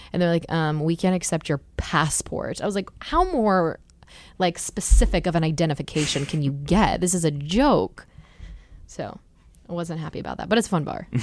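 The speech moves at a moderate pace, its pitch varying in an ordinary way. Overall, it is a normal speaking voice. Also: woman, fairly low pitch for a woman, very clean recording, silent background. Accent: American. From New Jersey shore, US. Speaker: pop singer. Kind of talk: casual interview chat.

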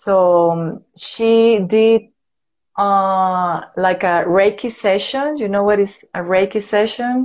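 Speaking very slowly in a Venezuelan accent, a woman keeps a medium pitch with ordinary pitch variation. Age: 30s. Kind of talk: casual interview. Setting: live video call. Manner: nervous, halting.

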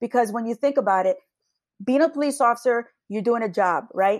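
A woman with an American accent has an unremarkable speaking voice, fairly high in pitch with ordinary pitch variation. The recording is very clean, with a silent background. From New Jersey, Long Branch. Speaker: police sergeant. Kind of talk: interview. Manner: casual.

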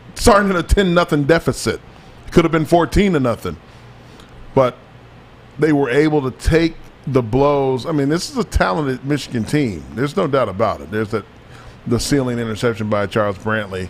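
A man with a fairly high pitch and an animated tone talks at a fairly quick pace with lively intonation, broken by long, frequent pauses. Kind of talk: casual sports talk show. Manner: animated, emphatic.

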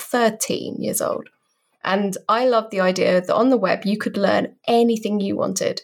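At a moderate pace, a woman speaks with a British accent. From Britain. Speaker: designer and developer advocate. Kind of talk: interview.

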